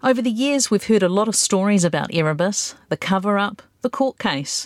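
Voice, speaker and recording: With lively intonation, a woman talks at a moderate pace in a New Zealand accent. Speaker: broadcaster, podcast host. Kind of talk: scripted narration.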